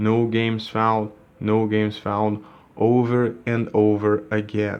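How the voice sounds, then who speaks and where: A man of fairly low pitch with a Portuguese accent. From Brazil. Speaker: gaming YouTuber. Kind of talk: tutorial. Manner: halting, with repeated words. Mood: frustrated complaint. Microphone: phone near.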